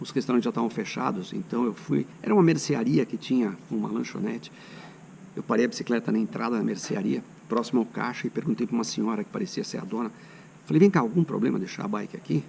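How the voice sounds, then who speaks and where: Talking at a very fast pace, a man swings his medium pitch very widely. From São Paulo state, Brazil. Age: 60s. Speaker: cycling vlogger. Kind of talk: casual travel vlog talk.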